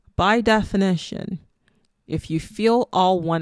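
A woman speaks with a Nigerian accent. Her pitch varies in an ordinary way. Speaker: spirituality podcaster. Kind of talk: solo monologue. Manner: casual, laughs often.

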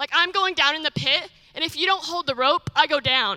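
Raised and projected, a woman's bright, sharp voice moves at a fairly quick pace with ordinary pitch variation, the sound dry and close with no echo. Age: 20s. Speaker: missionary. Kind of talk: testimony. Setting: church.

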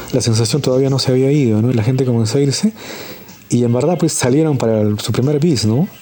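A man talks at a very fast pace and medium pitch, keeping his loudness very even. Noticeable background noise is present. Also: ordinary pitch variation. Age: 40s. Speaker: musician and communicator. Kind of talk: anecdote telling.

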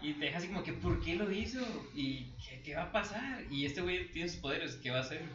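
A man with a Mexican accent speaks very fast, fairly high pitched, with lively intonation. Noticeable background noise and audible room echo are present. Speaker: podcast co-host. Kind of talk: casual chat. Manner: animated.

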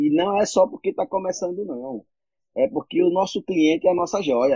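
A man's voice with very wide pitch swings. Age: 40s. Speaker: entrepreneur, civic movement founder. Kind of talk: casual interview. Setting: Instagram live.

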